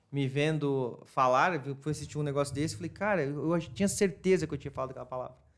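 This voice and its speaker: A man with a fairly high pitch talks at a very fast pace. He takes hardly any pauses. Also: ordinary pitch variation. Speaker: retail marketing specialist. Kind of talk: casual interview chat.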